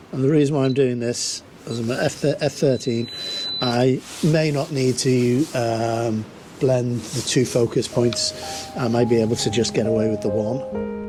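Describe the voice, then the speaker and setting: The speech moves at a fairly slow pace with ordinary pitch variation. Music plays in the background. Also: man, medium pitch for a man. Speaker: landscape photographer. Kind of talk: casual on-location tutorial vlog. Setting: outdoors on coastal rock reef. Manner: hesitant, filler-heavy.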